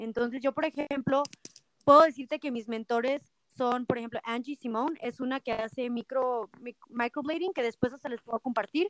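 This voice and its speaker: A woman speaks in a high voice at a moderate pace, with ordinary pitch variation. The sound is dry and close, with no echo. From Mexico, Zacatecas. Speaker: microblading artist and salon owner. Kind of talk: interview.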